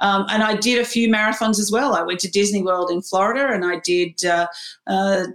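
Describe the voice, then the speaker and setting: A woman with an Australian accent talks at a fairly quick pace and a medium pitch. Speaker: HR executive. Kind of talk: interview. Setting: home spare room, remote. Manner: hesitant, many fillers.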